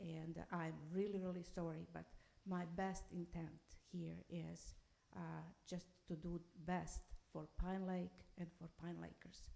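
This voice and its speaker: A woman with a non-native accent speaks at a very slow pace. Her pauses are long and frequent. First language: not English. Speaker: public commenter, construction worker. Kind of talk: public comment at council meeting. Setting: city council meeting.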